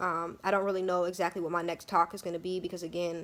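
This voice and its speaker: This is a woman speaking. Her intonation is monotone and flat. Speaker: vlogger. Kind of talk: personal vlog monologue. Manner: fast; halting.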